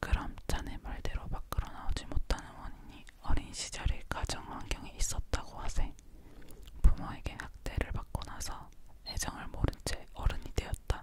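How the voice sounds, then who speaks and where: A woman whispers while noticeable background noise carries on behind her. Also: moderate pace. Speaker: ASMR creator. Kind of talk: whispered book reading for sleep, ASMR. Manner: whispered, soft.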